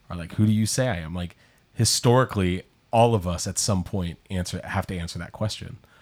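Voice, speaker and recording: Very deep and low, a man's voice moves at a fairly quick pace. The recording is very clean, with a silent background. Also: ordinary pitch variation. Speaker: pastor and podcast host. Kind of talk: casual chat.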